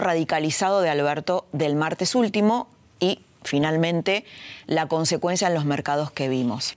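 A woman talks in a plain, everyday voice with a fairly low pitch. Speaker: TV political journalist and host. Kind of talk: editorial monologue.

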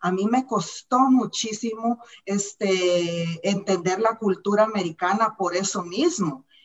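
A woman of medium pitch speaks at a very slow pace with hardly any pauses and ordinary pitch variation. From Central America, war-torn country. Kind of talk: panel discussion. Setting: video call.

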